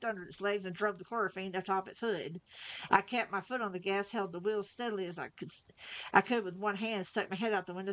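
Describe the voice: With fairly even intonation, the voice is plain reading aloud.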